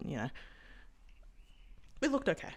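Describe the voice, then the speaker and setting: A woman with an Australian accent, vocal fry and an animated tone, on a very clean recording with a silent background. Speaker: sports vlogger. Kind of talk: casual vlog commentary.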